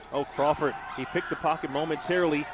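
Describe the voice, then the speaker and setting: A man speaks very fast in a fairly high pitch, with ordinary pitch variation. Noticeable background noise is audible. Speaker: basketball play-by-play announcer. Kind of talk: live basketball play-by-play call.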